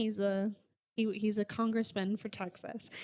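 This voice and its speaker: Speaking with an American accent, a woman's voice sits at a fairly high pitch. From US Midwest. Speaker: podcast co-host. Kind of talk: casual chat. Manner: fast; animated.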